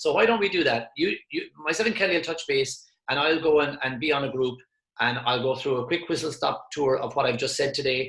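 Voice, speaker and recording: An Irish-accented man speaks at a fairly quick pace in a passionate tone. His pitch is fairly high for a man, with ordinary pitch variation. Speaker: motivational speaker. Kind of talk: webinar presentation. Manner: fast.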